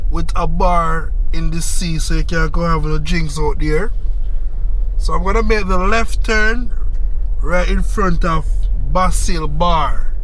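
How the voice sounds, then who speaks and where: A man speaks at a fairly slow pace with long, frequent pauses. Music plays in the background of the dry recording, which has no echo. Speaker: vlogger tour guide. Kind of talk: casual vlog chat. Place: street.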